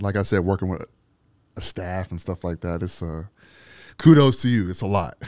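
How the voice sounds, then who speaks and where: A man's very deep, low voice with an American accent, at a moderate pace with ordinary pitch variation and long, frequent pauses, on a very clean recording with a silent background and a dry, close sound with no echo. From Aliquippa, western Pennsylvania. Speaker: street photographer and former radio host. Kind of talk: casual interview chat.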